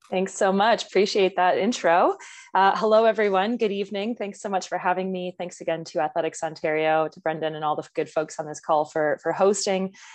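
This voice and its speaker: A woman at a fairly quick pace, with ordinary pitch variation and a quiet background. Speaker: guest. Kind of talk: presentation talk. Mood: friendly, smiling. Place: home room. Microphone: earbuds.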